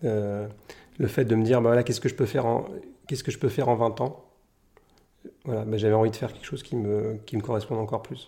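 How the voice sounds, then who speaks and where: A man talks very fast in a medium pitch, his tone dark, mellow and somewhat breathy. His intonation stays fairly even, broken by long, frequent pauses. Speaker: painter. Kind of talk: interview. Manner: halting.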